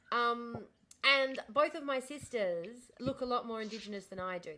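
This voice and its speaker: A woman speaks with an Australian accent and an animated tone. Her intonation is lively. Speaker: livestreamer. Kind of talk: casual chat. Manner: fast.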